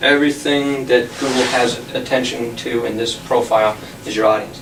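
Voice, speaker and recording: This man talks at a moderate pace in a flat, monotone way, his pitch medium. There is noticeable background noise and audible echo from the room. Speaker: tech talk presenter. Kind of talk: lecture.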